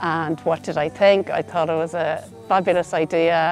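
Against faint music in the background, a woman speaks at a fairly slow pace in a fairly low pitch, the sound dry with no echo. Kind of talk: interview answer. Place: open country.

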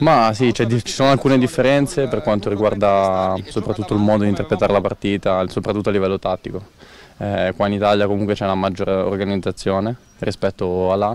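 A man's fairly low voice at a fairly quick pace, with ordinary pitch variation and a dry sound with no echo. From northern Italy, Busto Arsizio; northern Italy. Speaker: footballer. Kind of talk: interview. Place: stadium. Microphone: handheld.

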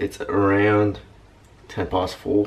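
A man at a low pitch, with faint background noise

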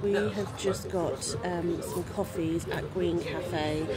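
A woman speaks over clear music in the background. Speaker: travel vlogger. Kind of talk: casual vlog chat. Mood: relaxed, chatty. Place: cafe. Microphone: phone near.

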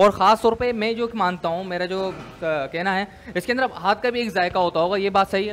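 A man with a high voice speaks with fairly even intonation over light background noise. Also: moderate pace. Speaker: food vlogger host. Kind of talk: casual vlog chat. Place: kitchen. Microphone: lapel.

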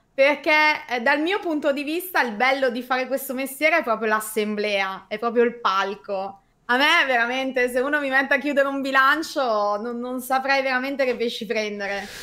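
Raising and projecting her high voice, a woman speaks at a moderate pace with a bright, sharp tone and ordinary pitch variation against a quiet background. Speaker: host of online meeting for condominium administrators. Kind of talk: casual chat, live stream. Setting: online video stream. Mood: smiling, relaxed. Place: home room.

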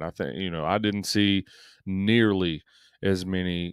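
Against a quiet background, a man with a very deep, low pitch is heard in a dry sound with no echo. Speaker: sports podcast co-host. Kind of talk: casual sports chat. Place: home room. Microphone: studio mic.

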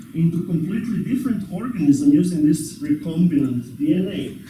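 This man's pitch swings very widely at a fairly slow pace. Light background noise and audible room echo are present. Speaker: university lecturer. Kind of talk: lecture. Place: classroom.

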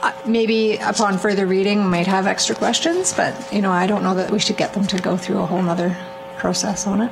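A woman speaks at medium pitch and a moderate pace, with vocal fry and fairly even intonation. Background noise is clearly audible.

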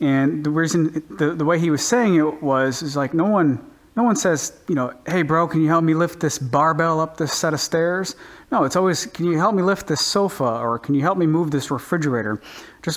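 With ordinary pitch variation and a moderate pace, a man speaks over a quiet background. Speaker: home gym vlogger. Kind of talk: casual vlog chat. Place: garage.

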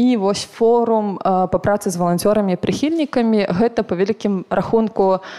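A woman speaks in a dark, mellow tone. The background is quiet. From Belarus. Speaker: volunteer coordinator; panelist. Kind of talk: panel discussion. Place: hall. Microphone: handheld.

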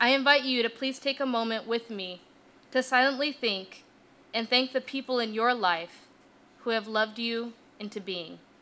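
A woman with a fairly high pitch and a bright, sharp tone speaks at a moderate pace with ordinary pitch variation. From Utah, US. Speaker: divinity student. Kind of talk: keynote speech.

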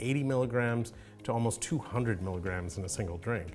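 At a moderate pace, a man talks with ordinary pitch variation while faint music sits in the background. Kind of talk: lecture. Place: home room.

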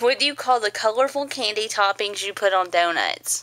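A woman with a Texan accent and lively intonation. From East Texas. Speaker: mother. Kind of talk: casual dialect vlog to camera. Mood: warm, gentle, playful. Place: home room.

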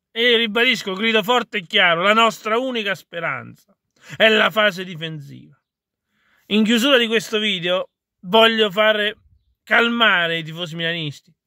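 A man projects his high, bright, sharp voice at a moderate pace, leaving long, frequent pauses. The sound is dry with no echo. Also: ordinary pitch variation, quiet background. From Italy. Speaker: video blogger and football commentator. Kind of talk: angry football rant, vented directly at the camera. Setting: solo video address to camera. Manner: fiery, exasperated, blunt and swearing. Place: car. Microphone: phone near.

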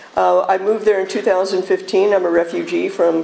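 A woman speaks at a moderate pace. There is light background noise. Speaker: speaker. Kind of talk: public talk to audience. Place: hall.

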